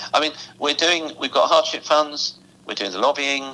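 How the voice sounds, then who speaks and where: Against noticeable background noise, a man with an English accent talks at a moderate pace. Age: 60s. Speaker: musicians' union representative. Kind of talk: interview. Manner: animated.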